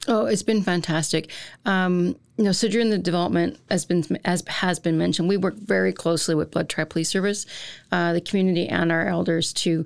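A woman with a Canadian accent talks fairly quickly in a normal speaking voice, her pitch fairly low and its variation ordinary. The recording is very clean with a silent background, and her loudness stays very even. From central Alberta, Canada. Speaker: college dean. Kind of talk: panel interview.

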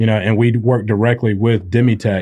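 Talking at a fairly quick pace, a man with a Southern US accent uses a medium pitch. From Spartanburg, South Carolina. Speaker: medical supply company CEO. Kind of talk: interview podcast. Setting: studio.

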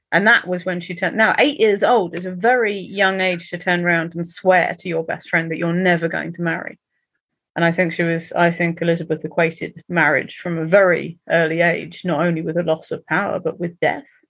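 Fairly quick and fairly low in pitch, a woman talks with fairly even intonation against a quiet background. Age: 40s. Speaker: historical fiction author. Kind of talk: interview conversation. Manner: halting.

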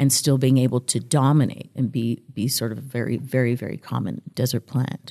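A woman's very deep, low voice with an American accent, dark and mellow in tone with vocal fry, fairly even in intonation, at a fairly quick pace with hardly any pauses. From US-Mexico border, El Paso. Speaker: history PhD candidate. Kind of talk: interview.

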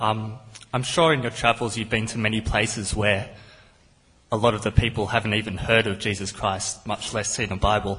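In an Australian accent, the speaker delivers lines with a monotone, flat intonation. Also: man. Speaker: audience member asking a question. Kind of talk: audience question.

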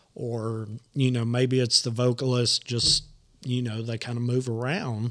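A speaker with a Southern US accent goes at a fairly slow pace. The intonation is monotone and flat. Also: man, medium pitch for a man. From Nashville, Tennessee. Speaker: podcast host. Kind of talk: casual chat.

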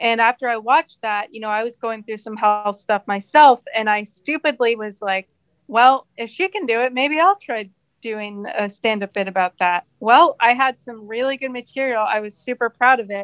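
A woman with an American accent speaks in a normal speaking voice, her pitch fairly high with ordinary variation. Her loudness swings widely, and the sound is dry and close with no echo. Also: moderate pace. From New Jersey, near New York City. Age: 30s. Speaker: comedian. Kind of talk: casual chat.

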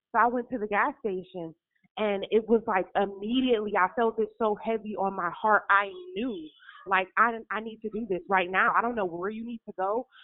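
In an ordinary speaking voice, a woman talks at a moderate pace and a fairly high pitch with fairly even intonation. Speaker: caller. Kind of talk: testimony. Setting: phone call.

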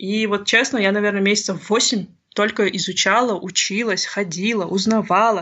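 In a plain, everyday voice, a woman talks at a moderate pace and medium pitch. The intonation stays fairly even. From Kazakhstan. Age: 30s. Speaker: oil and gas engineer turned startup founder. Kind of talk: interview conversation.

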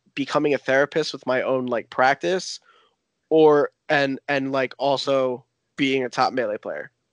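A man with an American accent has an unremarkable speaking voice, fairly high in pitch and fairly even in intonation, at a fairly slow pace. The background is quiet, and the sound is dry and close with no echo. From US Northeast. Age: 20s. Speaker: competitive video game player. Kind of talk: casual chat.

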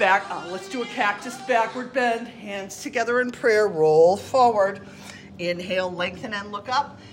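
Over music in the background, the speaker uses a calm, soothing tone at a fairly slow pace, with ordinary pitch variation and big swings in loudness. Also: woman, medium pitch for a woman. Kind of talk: guided yoga class, step-by-step cueing of poses. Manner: calm, soothing, encouraging, steady instructional pace with warm praise.

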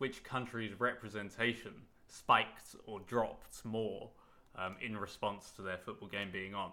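With a bright, sharp tone and a fairly low pitch, a man speaks at a fairly slow pace in a monotone, flat intonation. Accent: British. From Britain. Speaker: podcast co-host. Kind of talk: casual chat.

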